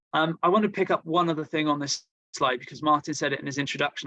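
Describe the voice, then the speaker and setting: A fairly high-pitched man with a Welsh accent, bright and sharp in tone, at a fairly quick pace, in a dry, close sound with no echo. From Wales. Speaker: marketing agency representative. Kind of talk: webinar presentation. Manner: hesitant, many fillers and repetitions.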